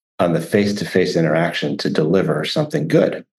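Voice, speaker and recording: Speaking at a moderate pace, a man has a fairly low pitch and an American accent. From US Midwest, Chicago. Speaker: sociologist. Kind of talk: interview.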